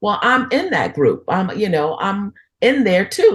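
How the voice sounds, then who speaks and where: The woman's pitch is medium and her pace moderate. A somewhat breathy quality runs through her voice. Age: 60s. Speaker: entrepreneur, women's network founder. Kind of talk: podcast interview.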